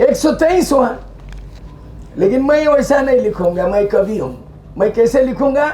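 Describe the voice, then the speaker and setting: Over noticeable background noise, the speaker sounds animated, with lively intonation. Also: man. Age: 70s. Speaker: politician. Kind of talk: public speech. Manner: forceful, animated.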